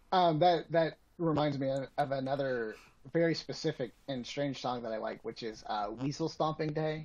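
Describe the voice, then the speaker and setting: With an American accent, a man speaks at a moderate pace in an unremarkable speaking voice. His pitch is fairly high, with ordinary pitch variation. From Atlanta, US South. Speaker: podcast guest. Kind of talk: casual chat.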